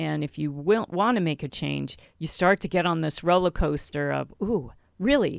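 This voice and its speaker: In a very clean recording with a silent background, a woman with an unremarkable speaking voice and fairly low pitch speaks at a fairly slow pace, the sound dry and close with no echo. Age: 60s. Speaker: podcast host and health coach. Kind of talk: interview.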